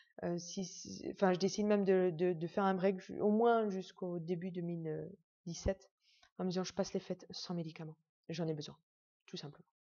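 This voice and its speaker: A woman of medium pitch talks at a moderate pace in a monotone, flat intonation. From Netherlands. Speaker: patient sharing illness journey. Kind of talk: personal testimony. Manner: hesitant, many fillers.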